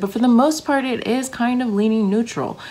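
A woman speaks at a moderate pace with a slightly mellow tone. Vocal fry runs through her voice.

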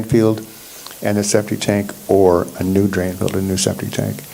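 Over noticeable background noise, a man speaks in a very deep, low voice with monotone, flat intonation. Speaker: township planning staff. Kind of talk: public meeting discussion. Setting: township planning commission meeting.

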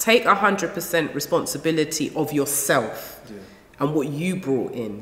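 This woman's pitch is very deep and low, with lively intonation. Audible room echo surrounds her. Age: 40s. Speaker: relationship counsellor; guest. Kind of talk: casual chat. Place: studio.

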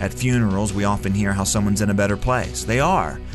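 The speaker goes at a fairly quick pace while music plays in the background. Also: man. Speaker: radio commentator / host. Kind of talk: short radio commentary script read.

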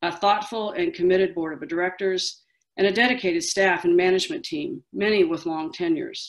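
The voice is plain reading aloud, set against a quiet background.

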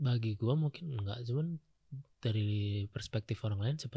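Soft-spoken and somewhat breathy, a man talks at a fairly quick pace in a dark, mellow tone with ordinary pitch variation, recorded as a dry sound with no echo against a quiet background. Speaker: comedian and host; comedian, host. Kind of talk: casual chat. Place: studio. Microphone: studio mic.

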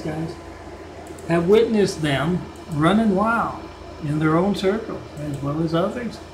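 Moderately paced speech from a man, ordinary in pitch variation, with music behind it. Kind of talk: rant-style video commentary narrating a fictional series.

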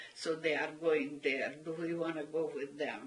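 Her pitch fairly low, a woman speaks with a Hungarian accent. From Hungary. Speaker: Holocaust survivor. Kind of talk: oral history interview answer. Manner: hesitant, halting. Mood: earnest, recounting wartime memories.

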